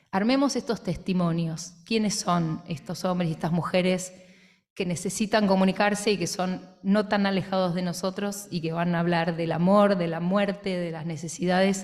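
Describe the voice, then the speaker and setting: A woman speaks at a moderate pace and medium pitch, somewhat breathy and with fairly even intonation, while audible room echo surrounds her. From Trelew, Patagonia, Argentina. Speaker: theatre director and author. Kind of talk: book presentation. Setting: radio auditorium with audience.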